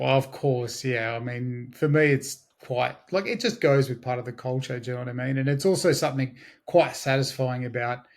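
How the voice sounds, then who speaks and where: An Australian accent from a man at a medium pitch and moderate pace, with fairly even intonation and hardly any pauses, in a very clean recording with a silent background. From Australia, Blue Mountains west of Sydney. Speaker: digital marketing agency owner. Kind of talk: interview.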